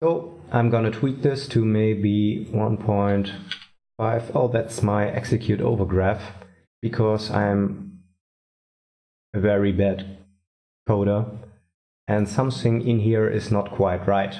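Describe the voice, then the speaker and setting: In a room with audible echo, a man speaks very slowly with long, frequent pauses, a fairly low pitch, very even loudness and a dark, mellow tone. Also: ordinary pitch variation. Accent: non-native. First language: not English. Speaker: indie game developer. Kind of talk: tutorial. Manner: halting, thinking aloud.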